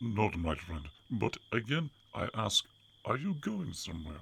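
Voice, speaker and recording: A man speaks in a put-on character voice at a moderate pace. His pitch sits fairly low. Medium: read story. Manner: calm, measured.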